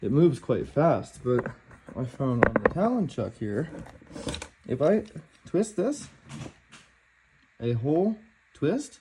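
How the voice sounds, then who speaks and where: A man speaks at a very slow pace and fairly high pitch, with very wide pitch swings. Long, frequent pauses break his speech over noticeable background noise. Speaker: woodworking youtuber. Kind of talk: unboxing video. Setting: in a kitchen. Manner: casual, halting.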